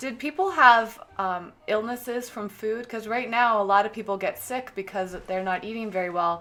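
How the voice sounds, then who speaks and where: At a moderate pace with hardly any pauses, a woman speaks in an ordinary speaking voice, fairly high in pitch with ordinary pitch variation. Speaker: vegan lifestyle video host. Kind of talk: interview questions to family member.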